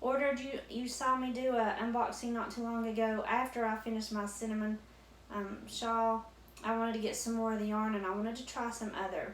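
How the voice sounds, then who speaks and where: Amid noticeable background noise and audible room echo, a woman with a Southwest Virginia accent speaks at a fairly quick pace, her fairly high voice monotone and flat. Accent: Southwest Virginia country. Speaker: crochet YouTuber. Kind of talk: casual unboxing chat.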